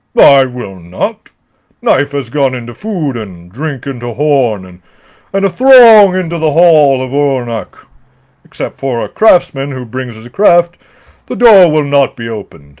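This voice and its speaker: Moderate pacing in a man's put-on character voice, fairly high-pitched. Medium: read story. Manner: haughty.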